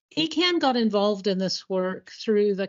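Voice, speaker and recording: A woman with an American accent and an unremarkable speaking voice speaks at a moderate pace and medium pitch. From Colorado, US. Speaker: environmental agency biodiversity manager. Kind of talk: conference presentation.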